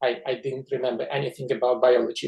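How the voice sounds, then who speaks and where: In a Russian accent, a man speaks in a somewhat breathy voice. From Georgia. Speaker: scientist. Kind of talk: interview. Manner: halting.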